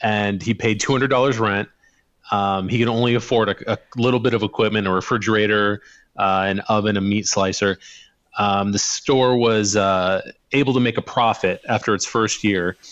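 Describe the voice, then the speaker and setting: A man's fairly low voice with a Midwestern American accent, very even in loudness and fairly even in intonation. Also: moderate pace. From US Midwest, rural western Illinois. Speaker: podcast co-host. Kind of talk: casual chat.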